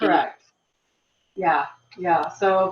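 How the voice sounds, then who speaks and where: A woman's medium-pitched voice at a moderate pace. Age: 60s. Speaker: patient with cystic fibrosis. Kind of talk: panel talk on personal experience.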